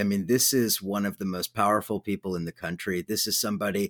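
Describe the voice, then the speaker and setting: An ordinary speaking voice with an American accent comes at a fairly quick pace with ordinary pitch variation, on a very clean recording with a silent background and a dry, close sound with no echo. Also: man. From Southern California. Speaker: radio host. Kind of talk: radio interview.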